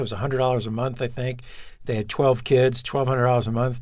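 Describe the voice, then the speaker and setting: A man speaks in a Brooklyn accent. His voice is medium in pitch. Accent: New York (Brooklyn). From Brooklyn, New York. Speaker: television writer and producer. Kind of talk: interview.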